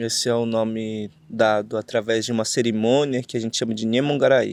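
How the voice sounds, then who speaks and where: A man's medium-pitched voice, monotone and flat, at a fairly slow pace on a very clean recording with a silent background. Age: 30s. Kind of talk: interview. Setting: outdoors under an avocado tree at a festival. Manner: halting, many fillers.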